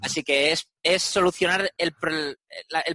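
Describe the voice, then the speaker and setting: The sound is dry and close, with no echo. A man's fairly high voice has a bright, sharp tone and ordinary pitch variation. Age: 30s. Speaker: software founder. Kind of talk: interview. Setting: video call.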